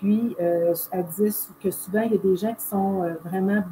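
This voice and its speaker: Noticeable background noise accompanies a woman talking at a fairly slow pace, medium in pitch, with monotone, flat intonation. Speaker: holistic therapist. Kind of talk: casual explanation.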